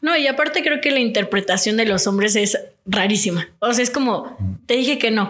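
Against noticeable background noise, a woman speaks at a moderate pace and fairly high pitch, with lively intonation and very even loudness. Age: 20s. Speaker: nutritionist. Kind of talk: casual chat.

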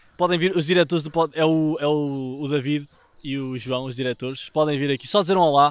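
With a European Portuguese accent, a man speaks at a fairly quick pace in a fairly high pitch and fairly even intonation. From Portugal, Gouveia area (Beira). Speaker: podcast co-host. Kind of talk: casual chat.

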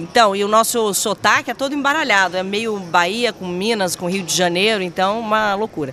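Noticeable background noise sits behind a woman who speaks in an animated tone at a medium pitch, with hardly any pauses. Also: ordinary pitch variation, moderate pace. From Espírito Santo, Brazil (Vitória). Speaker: TV presenter. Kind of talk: casual chat.

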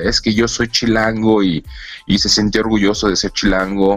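A man speaks at a fairly low pitch. There is noticeable background noise. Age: 40s. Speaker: anthropologist. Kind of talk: casual interview.

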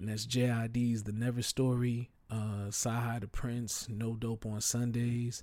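In a very clean recording with a silent background, a man speaks at medium pitch in a monotone with flat intonation and a dark, mellow tone. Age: 30s. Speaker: hip-hop podcast host and DJ. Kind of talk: casual solo monologue. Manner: loose, freestyle delivery.

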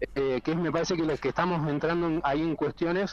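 Using a plain, everyday voice, a man talks at a fairly quick pace. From rural northwest Buenos Aires province, Argentina. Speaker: bartender and vermouth maker. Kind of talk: casual interview. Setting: phone call.

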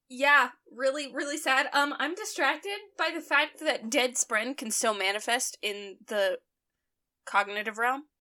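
Raised and projected, a woman's bright, sharp voice sits at a high pitch with lively intonation. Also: fairly slow pace. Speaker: co-host. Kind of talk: casual chat.

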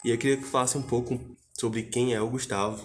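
A man speaks in a normal speaking voice at a medium pitch. His intonation stays fairly even, and his pace is fairly quick. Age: 20s. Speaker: podcast host. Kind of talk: casual interview.

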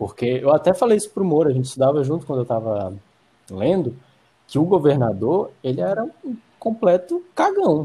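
A man's pitch sits fairly high and swings very widely. He speaks at a moderate pace. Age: 20s. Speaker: film student. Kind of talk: casual chat.

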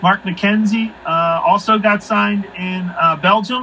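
A man with a Philadelphia accent, high-pitched, at a fairly slow pace with fairly even intonation. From Philadelphia area, Pennsylvania. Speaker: pro soccer coach. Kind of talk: casual interview.

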